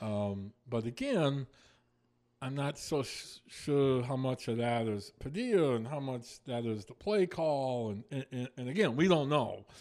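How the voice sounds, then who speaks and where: At a fairly slow pace, a man with an unremarkable speaking voice talks with lively intonation. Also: medium pitch for a man. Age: 50s. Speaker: sports radio co-host. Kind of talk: casual chat. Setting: radio studio.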